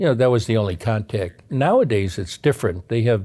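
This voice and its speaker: Speaking at a fairly low pitch with an American accent, a man has a dark, mellow tone and ordinary pitch variation. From Chicago, US Midwest. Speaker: retired navy submarine officer. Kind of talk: oral history interview. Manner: halting, many fillers.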